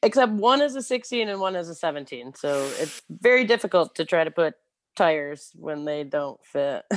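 Speaking in a Michigan accent, a woman with a fairly low pitch moves at a moderate pace through very wide pitch swings. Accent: US Midwest (Michigan). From Michigan, Clio. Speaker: moped shop worker, former teacher. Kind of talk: casual interview.

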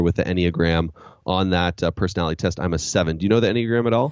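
A man speaks very fast with a Canadian accent. His pitch is very deep and low, with fairly even intonation. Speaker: podcast host and leadership trainer. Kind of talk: casual interview chat.

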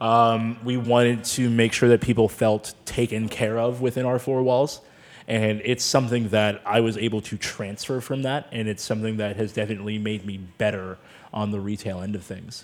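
A man with an American accent has an unremarkable speaking voice at medium pitch. He keeps a moderate pace and fairly even intonation. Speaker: sommelier. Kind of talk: casual chat. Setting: studio.

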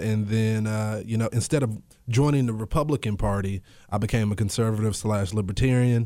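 Recorded very cleanly against a silent background, a man with a normal speaking voice talks at medium pitch and a moderate pace, with ordinary pitch variation. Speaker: radio host and political commentator. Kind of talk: casual chat.

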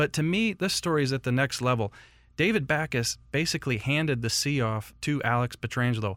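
A man speaks at a medium pitch with lively intonation and very even loudness, in an ordinary speaking voice. The recording is very clean, with a silent background. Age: 40s. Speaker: sports journalist and podcast host. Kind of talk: casual chat. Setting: studio.

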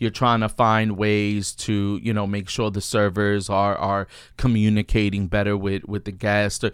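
A man's fairly low voice in a flat monotone, fairly slow with hardly any pauses, on a very clean recording with a silent background. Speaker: restaurant owner and podcast co-host. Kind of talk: casual chat.

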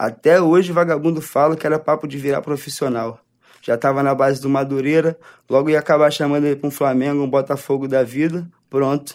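A man's fairly high, monotone, flat voice at a fairly quick pace, in a very clean recording with a silent background. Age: 20s. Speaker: author. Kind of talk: reading aloud.

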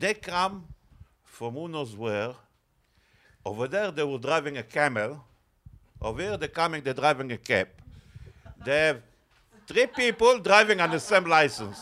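A man with an Israeli accent, fairly high-pitched, with a bright, sharp tone, very wide pitch swings and long, frequent pauses. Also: moderate pace. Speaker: cab driver. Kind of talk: casual banter.

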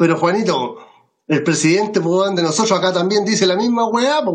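A man with a Chilean accent, high pitch, lively intonation and moderate pace, with audible room echo. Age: 60s. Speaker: comedian. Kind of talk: casual chat.

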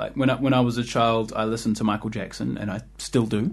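A man with a New Zealand accent, very fast speech and vocal fry. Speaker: jazz musician. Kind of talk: casual chat. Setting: studio.

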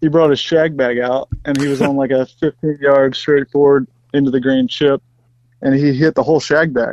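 With a Southern US accent, a man speaks at a moderate pace and fairly high pitch, keeping his intonation fairly even. The sound is dry and close with no echo. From US South, Mississippi. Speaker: professional golfer. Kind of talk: casual chat.

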